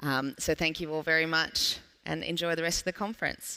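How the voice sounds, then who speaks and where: Speaking with an Australian accent, a woman has a very deep, low pitch and a bright, sharp tone. Her pace is moderate, her intonation fairly even, and the recording very clean with a silent background. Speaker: panel moderator. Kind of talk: panel discussion. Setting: stage with audience.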